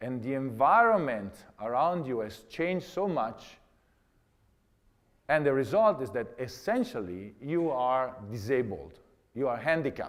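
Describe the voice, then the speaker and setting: With lively intonation and medium pitch, a man speaks at a fairly slow pace. Long pauses come often, and the room echo is audible. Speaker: astronaut giving a lecture. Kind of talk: lecture. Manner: halting, many fillers and repeats.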